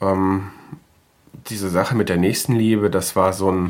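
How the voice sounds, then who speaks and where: Through noticeable background noise, a man with a very deep, low pitch speaks at a fairly slow pace. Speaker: podcaster. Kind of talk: casual monologue; reading aloud.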